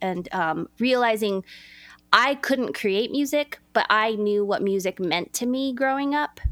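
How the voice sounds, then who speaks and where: In a fairly high pitch, a woman with an American accent speaks at a fairly slow pace with lively intonation in an unremarkable speaking voice, on a very clean recording with a silent background. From Los Angeles, California. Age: 40s. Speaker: former dancer and travel agent. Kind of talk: casual interview chat.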